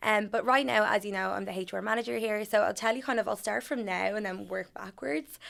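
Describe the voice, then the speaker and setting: In a very clean recording with a silent background, a woman talks with an Irish accent. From Ireland. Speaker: HR manager. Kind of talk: podcast interview.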